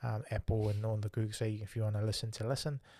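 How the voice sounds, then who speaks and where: A man with a New Zealand accent speaks at a medium pitch, somewhat breathy, in a dry, close sound with no echo on a very clean recording with a silent background. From Tonga. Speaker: podcast host. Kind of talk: casual interview chat. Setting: live stream. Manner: friendly, casual.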